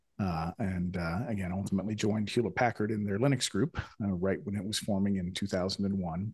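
Here is a man with a plain, everyday voice, pitched fairly low. He talks at a fairly quick pace with hardly any pauses and fairly even intonation. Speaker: podcast host. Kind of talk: casual conversational interview.

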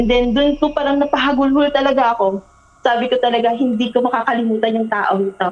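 Over noticeable background noise, a woman speaks very fast in a high pitch, her loudness very even and her intonation fairly even. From Philippines, provinces. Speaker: guest storyteller. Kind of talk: personal storytelling.

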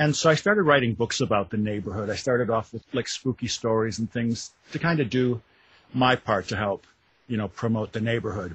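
With an American accent, this somewhat breathy voice moves at a fairly quick pace with ordinary pitch variation. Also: man, medium pitch for a man. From Wisconsin. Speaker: author. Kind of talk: interview.

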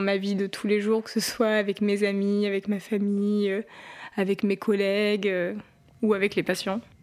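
A woman speaks at a fairly slow pace. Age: 20s. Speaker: psychiatry resident. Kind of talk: documentary interview.

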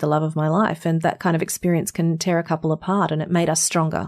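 In an Australian accent, a woman talks with a fairly low pitch and a monotone, flat intonation. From Australia, North Queensland. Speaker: voice actor and speaker. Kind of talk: interview.

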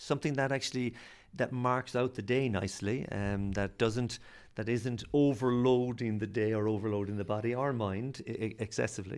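On a very clean recording with a silent background, a man speaks with an Irish accent at a moderate pace. His pitch is medium, with ordinary variation. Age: 40s. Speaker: sports scientist and lecturer. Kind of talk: interview.

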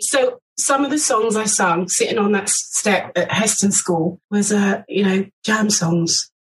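With a London accent, a woman speaks at a fairly slow pace with hardly any pauses, a medium pitch, ordinary pitch variation and very even loudness. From west London. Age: 60s. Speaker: former backing singer. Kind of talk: casual interview. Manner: animated.

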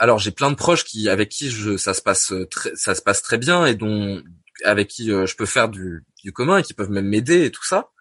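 A man's fairly low voice with lively intonation at a moderate pace, in dry, close sound with no echo. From Normandy, France. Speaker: podcast guest living with schizophrenia. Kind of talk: casual interview conversation. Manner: halting, many hesitations and repetitions.

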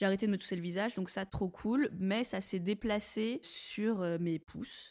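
A woman's dark, mellow tone, fairly slow and fairly even in intonation, in a dry, close sound with no echo. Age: 20s. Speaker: entrepreneur. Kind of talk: casual chat.

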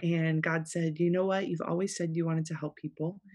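This woman's dark, mellow voice, with an American accent, comes over a quiet background. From South Florida. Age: 30s. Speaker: pastor. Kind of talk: casual chat. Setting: studio.

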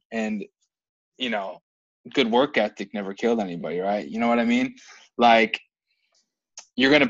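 The speaker has a plain, everyday voice with ordinary pitch variation. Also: man. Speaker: podcast host. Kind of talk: casual podcast chat.

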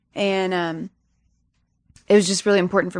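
At a moderate pace, the voice holds a monotone, flat intonation, recorded dry and close with no echo against a quiet background. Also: woman. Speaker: musician. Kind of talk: casual interview chat.

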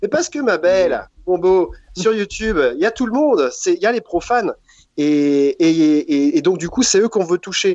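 A man speaks at a moderate pace in a high pitch with very wide pitch swings. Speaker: comedian. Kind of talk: casual chat. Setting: video call. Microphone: delayed connection, lag.

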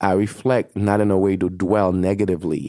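Recorded with a dry, close sound and no echo, a man with a non-native accent speaks at a very deep, low pitch with a dark, mellow tone, fairly even intonation and a fairly quick pace. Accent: foreign-accented English. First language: not English; French second, English third. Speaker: advertising agency executive. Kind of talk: interview.

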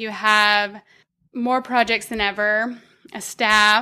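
A woman in a bright, sharp tone at a very slow pace, in a very clean recording with a silent background. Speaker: social designer. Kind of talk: casual chat.

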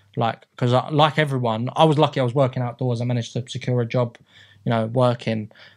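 In a London accent, a man talks at a very fast pace with monotone, flat intonation on a very clean recording with a silent background. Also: medium pitch for a man. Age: 30s. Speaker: football league secretary. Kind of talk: casual interview. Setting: studio. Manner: halting, many fillers and repeats.

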